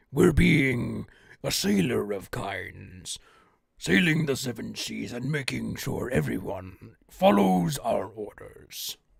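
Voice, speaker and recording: This is a gravelly, put-on character voice. It moves at a fairly slow pace. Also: man, fairly low pitch for a man. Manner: commanding.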